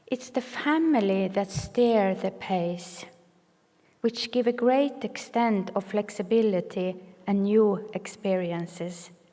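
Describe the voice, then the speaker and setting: Very slowly, a woman speaks with a Norwegian accent, a medium pitch and ordinary pitch variation. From northern Norway. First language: Sami or Norwegian. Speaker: clinical social worker, keynote speaker. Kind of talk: keynote speech. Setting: conference stage with audience. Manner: some hesitations and repetitions.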